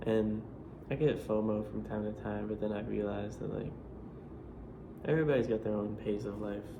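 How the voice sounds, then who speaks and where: A man speaks with an American accent in a relaxed tone, leaving long, frequent pauses, and the room echo is audible. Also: moderate pace. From Florida. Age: 20s. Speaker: vlogger. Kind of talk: casual vlog monologue. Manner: relaxed, filler-heavy casual speech.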